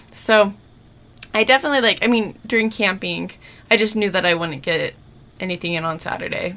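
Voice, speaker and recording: A woman with a bright, sharp tone talks at a fairly quick pace with ordinary pitch variation and long, frequent pauses. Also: medium pitch for a woman. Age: 30s. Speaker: podcast co-host. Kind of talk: casual chat.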